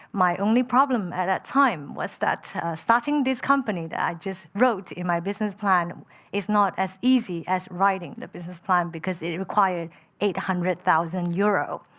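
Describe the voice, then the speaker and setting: A woman with a Chinese accent speaks with ordinary pitch variation on a very clean recording with a silent background. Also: medium pitch for a woman, moderate pace. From Malaysia. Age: 30s. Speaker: entrepreneur. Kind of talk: panel discussion. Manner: hesitant with many fillers.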